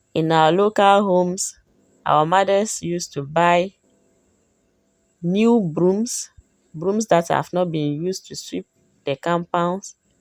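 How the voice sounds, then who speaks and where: Music plays in the background as a woman speaks at a very slow pace with long, frequent pauses. Her voice is fairly low with fairly even intonation, in a dry, close sound with no echo. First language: Dagbani. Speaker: cooking vlogger. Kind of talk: cooking tutorial.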